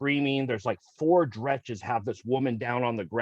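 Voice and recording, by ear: The intonation stays fairly even as the speaker reads aloud in a natural voice.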